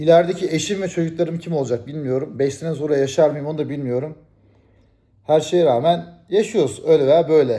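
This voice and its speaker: Fairly high-pitched male speech with a dark, mellow tone, ordinary pitch variation and a fairly quick pace. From Turkey. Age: 40s. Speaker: YouTuber. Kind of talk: casual vlog monologue.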